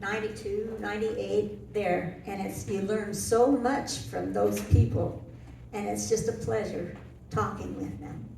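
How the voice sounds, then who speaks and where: The speaker talks at a fairly slow pace with very wide pitch swings and big swings in loudness. Audible room echo and noticeable background noise fill the recording. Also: woman, very deep, low pitch for a woman. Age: 70s. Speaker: senior living resident. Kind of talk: panel testimony.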